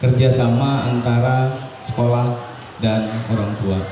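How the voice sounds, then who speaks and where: There is noticeable background noise and audible room echo as a man talks. His delivery is fairly slow, with monotone, flat intonation. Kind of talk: welcome speech. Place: hall. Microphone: pa.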